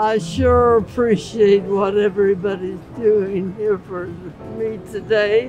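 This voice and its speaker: Speaking at a very slow pace with hardly any pauses, a woman with an American accent keeps a fairly even intonation, the sound dry with no echo and clear music in the background. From Southern California. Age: 80s+. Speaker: birthday guest. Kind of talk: interview answer. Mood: warm, grateful, reminiscing.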